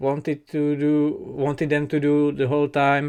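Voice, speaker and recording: The speaker talks with a non-native accent. The recording is very clean, with a silent background. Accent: noticeable non-native. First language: not English. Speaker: K-pop reaction youtuber. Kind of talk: casual reaction commentary. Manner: hesitant, many fillers.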